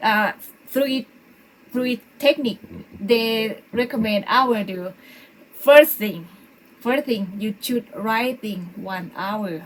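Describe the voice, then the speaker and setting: A woman with a Thai accent speaks at a very slow pace and fairly high pitch, with ordinary pitch variation, big swings in loudness and long, frequent pauses. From Thailand. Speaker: English conversation course co-host. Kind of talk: casual chat. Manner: halting.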